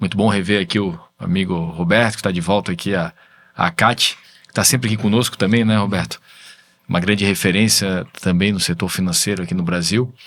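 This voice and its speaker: A man's unremarkable speaking voice, fairly low in pitch, at a fairly quick pace with fairly even intonation. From Brazil, Florianópolis. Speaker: tech entrepreneur, business association president. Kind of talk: videocast interview.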